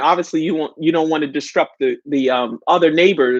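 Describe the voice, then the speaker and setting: With a New York accent, a woman speaks in an animated tone with lively intonation. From New York City. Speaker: live chat host. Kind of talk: casual live stream chat.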